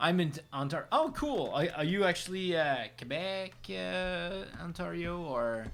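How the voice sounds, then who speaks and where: Delivered with a French Canadian accent, the speech has lively intonation and a fairly slow pace. There are hardly any pauses. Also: man, high pitch for a man. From French Canada. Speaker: digital artist streamer. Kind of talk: casual chat. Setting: live stream.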